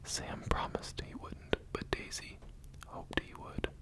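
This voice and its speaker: A man whispers at a fairly slow pace. Noticeable background noise runs behind him. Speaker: ASMR creator. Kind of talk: bedtime story reading. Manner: whispered.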